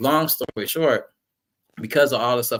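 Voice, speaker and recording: An American accent marks this man's unremarkable speaking voice, delivered at a moderate pace with ordinary pitch variation. The recording is very clean, the background silent. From US South (Jacksonville, Florida). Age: 30s. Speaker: guest speaker on mental health. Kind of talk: personal testimony. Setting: podcast.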